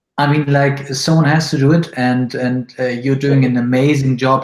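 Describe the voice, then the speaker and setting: Someone with a German accent speaks fairly slowly with fairly even intonation, over a quiet background with audible room echo. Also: man. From northern Germany, near Bremen; northern Germany. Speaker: web agency CEO; interview guest. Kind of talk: interview. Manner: hesitant, many fillers. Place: home room.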